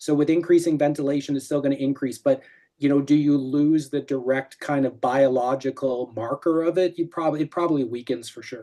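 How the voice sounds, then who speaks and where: The speech runs at a fairly quick pace with hardly any pauses. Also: quiet background. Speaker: respiratory physiology researcher. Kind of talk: academic seminar Q&A. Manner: fast.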